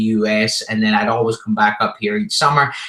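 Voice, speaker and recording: In a Scottish accent, a man speaks with a bright, sharp tone and monotone, flat intonation. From Scotland. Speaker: entrepreneur and rock musician. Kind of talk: interview. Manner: casual.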